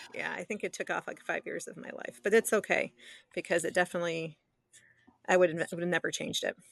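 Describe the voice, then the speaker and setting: A woman with an American accent speaks very fast, her loudness swinging widely. The sound is dry and close with no echo, over a quiet background. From US Midwest, southeastern Michigan (Detroit area). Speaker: midwife and nurse practitioner. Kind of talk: interview conversation.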